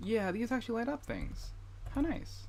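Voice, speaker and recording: A man's somewhat breathy voice moves at a moderate pace. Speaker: gaming livestreamer. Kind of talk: casual livestream chat. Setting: home streaming setup with headphones. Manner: halting, with repetitions.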